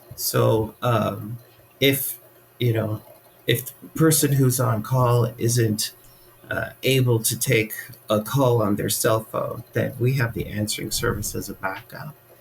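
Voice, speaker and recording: Noticeable background noise sits behind a man with an American accent. He speaks very slowly at a medium pitch with fairly even intonation. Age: 60s. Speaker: funeral director. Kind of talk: interview. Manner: hesitant, many fillers.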